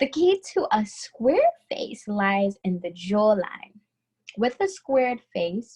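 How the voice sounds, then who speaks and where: Speaking very slowly in a strong New York accent, a woman has a fairly high pitch and a dark, mellow tone that is somewhat breathy. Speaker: beauty instructor. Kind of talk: tutorial.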